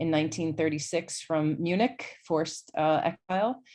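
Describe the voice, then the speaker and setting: At a fairly slow pace, a woman with an American accent speaks at a fairly low pitch with ordinary pitch variation over a quiet background. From US Midwest, Chicago. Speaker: poet and academic. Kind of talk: online talk. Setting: video call. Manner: halting.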